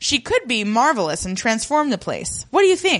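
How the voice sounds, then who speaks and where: Animated and showing vocal fry, a woman's fairly high-pitched voice moves through very wide pitch swings. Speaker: podcast host. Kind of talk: casual banter recap podcast. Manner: animated, laughs often.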